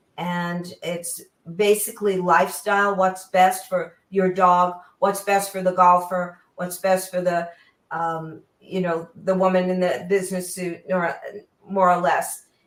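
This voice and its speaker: A woman speaks with an American accent at a fairly slow pace. Her intonation is monotone and flat. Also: medium pitch for a woman. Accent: New York accent, comes out now and then. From New York. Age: 70s. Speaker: auto journalist. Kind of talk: interview chat.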